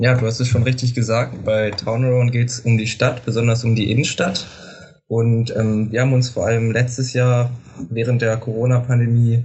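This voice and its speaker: A man's somewhat breathy voice at medium pitch, moderate in pace, with monotone, flat intonation. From Lower Saxony, Germany. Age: 18. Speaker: student startup marketing lead. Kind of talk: interview.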